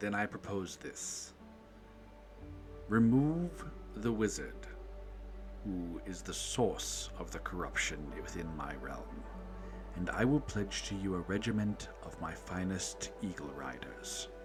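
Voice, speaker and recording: A man's put-on character voice, very deep and low, at a fairly slow pace with long, frequent pauses over clear music in the background. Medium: actual play. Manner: regal, measured.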